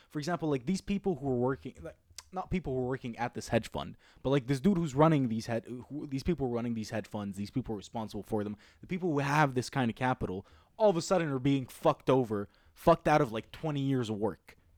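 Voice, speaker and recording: Animated in tone, a man talks at a very fast pace and a medium pitch with lively intonation in a very clean recording with a silent background. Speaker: podcast host. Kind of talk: casual chat.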